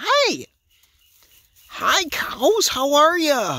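A man speaks with an Upper Midwest accent. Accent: Upper Midwest (Wisconsin). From Wisconsin. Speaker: vlogger filming farm animals. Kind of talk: casual monologue to camera. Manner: rambling, halting.

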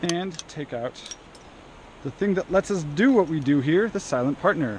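Over light background noise, a man speaks at a moderate pace with ordinary pitch variation in a dry sound with no echo. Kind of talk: tutorial. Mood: relaxed, upbeat. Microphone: phone near.

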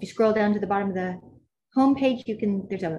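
A woman's fairly high, somewhat breathy voice with a dark, mellow tone, an American accent, and ordinary pitch variation. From Texas, Grand Prairie. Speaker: botanical garden conservation coordinator. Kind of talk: casual chat. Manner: animated.

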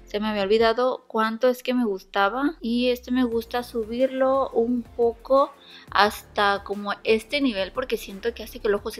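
A woman's high-pitched voice at a moderate pace with fairly even intonation, faint music in the background. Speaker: beauty vlogger. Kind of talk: tutorial. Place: home room.

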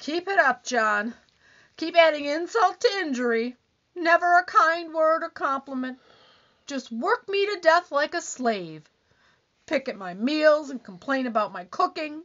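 The pace is moderate. The pitch swings very widely. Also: woman, high pitch for a woman, big swings in loudness. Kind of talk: 1940s radio comedy acting. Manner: complaining, whiny, accusing.

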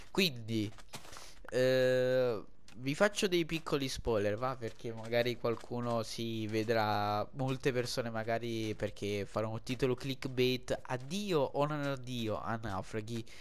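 Pitch sits at a medium level for this man, varying in an ordinary way. He talks very slowly. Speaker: gaming youtuber. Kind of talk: gameplay commentary. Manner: halting.

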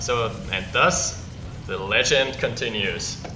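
Slow speech from a man with a fairly low pitch and ordinary pitch variation, over clear background noise.

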